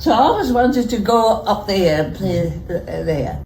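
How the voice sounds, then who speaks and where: There is audible room echo as a woman with an Aberdeenshire accent talks at a moderate pace and medium pitch, her intonation lively. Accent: Scottish (Aberdeenshire). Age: 80s+. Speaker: golf club member. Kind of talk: interview reminiscence.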